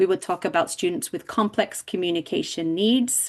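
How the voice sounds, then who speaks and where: With an English accent, a woman with a fairly low voice speaks at a moderate pace against a quiet background. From England. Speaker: deafblind education specialist presenter. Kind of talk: lecture. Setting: video call.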